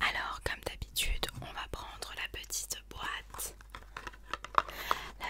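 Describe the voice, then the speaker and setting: A whisper at a very slow pace. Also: woman. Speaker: ASMR creator. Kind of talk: casual talk to camera. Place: home room. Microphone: studio mic.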